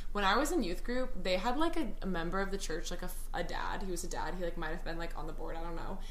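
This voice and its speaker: With noticeable background noise and audible room echo, a woman with an American accent talks at a very fast pace with hardly any pauses. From Texas, Dallas. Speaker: TikTok creator. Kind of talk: casual chat. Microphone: poor audio quality.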